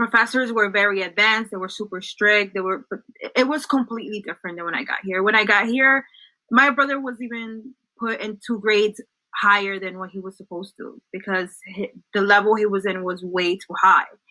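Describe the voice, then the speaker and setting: With a Spanish accent, a woman speaks fairly quickly in a bright, sharp tone at medium pitch, with ordinary pitch variation and big swings in loudness. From El Salvador, then New Jersey from age nine. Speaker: social work graduate student, former school staff. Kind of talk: interview.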